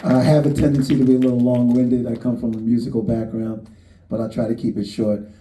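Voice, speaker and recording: At a very fast pace, a man talks with a medium pitch and fairly even intonation amid audible room echo. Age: 60s. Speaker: actor. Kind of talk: panel talk at a screening. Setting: stage with audience.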